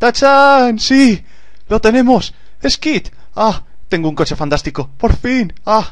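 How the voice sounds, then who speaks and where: Against a quiet background, the speech has very wide pitch swings and long, frequent pauses. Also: man. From Spain. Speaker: gaming YouTuber. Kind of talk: gameplay commentary. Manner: animated.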